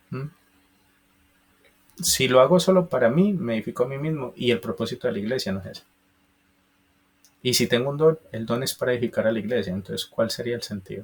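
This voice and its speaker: A somewhat breathy voice with an Antioquian accent goes at a fairly quick pace with lively intonation. Loudness swings widely, and long pauses come often. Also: man, medium pitch for a man. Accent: Colombian paisa Spanish. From Colombia, Antioquia (paisa region). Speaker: preacher. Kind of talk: bible teaching.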